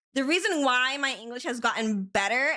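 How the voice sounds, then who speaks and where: Animated and bright, sharp in tone, a woman with an American accent talks at a moderate pace. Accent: American-sounding English. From Spain. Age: 30s. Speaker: vtuber streamer. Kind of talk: casual chat. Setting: live stream.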